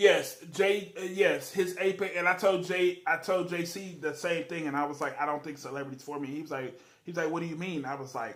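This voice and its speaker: Over noticeable background noise, a man with a high voice talks at a fairly quick pace with hardly any pauses, ordinary pitch variation and big swings in loudness. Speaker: live streamer. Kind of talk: casual chat. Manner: animated.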